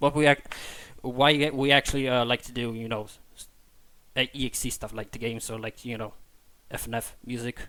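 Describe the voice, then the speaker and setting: With a non-native accent, a man talks at a fairly quick pace with long, frequent pauses, a medium pitch, monotone, flat intonation, big swings in loudness and a bright, sharp tone. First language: not English. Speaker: podcast host. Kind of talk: casual podcast chat. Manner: halting, many fillers and repetitions.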